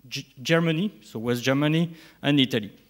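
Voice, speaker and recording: In a French accent, a man talks at a moderate pace with a fairly high pitch and ordinary pitch variation. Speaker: nuclear industry director. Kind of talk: conference talk. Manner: halting.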